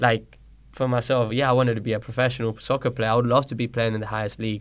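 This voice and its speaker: In a London accent, the speaker goes at a very fast pace with monotone, flat intonation on a very clean recording with a silent background. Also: man. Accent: British (London) English. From Colombia, raised in London from age six. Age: 30s. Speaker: soccer coach and trainer. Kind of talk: casual interview.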